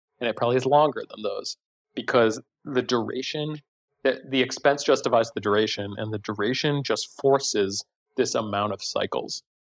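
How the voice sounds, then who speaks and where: Man with an unremarkable speaking voice, medium pitch, fairly even intonation and moderate pace, in a dry, close sound with no echo. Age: 40s. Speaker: design educator and author. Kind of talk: casual interview chat.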